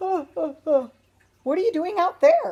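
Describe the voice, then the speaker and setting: This is a put-on character voice that sounds female. It is squeaky and extremely high-pitched. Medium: read story.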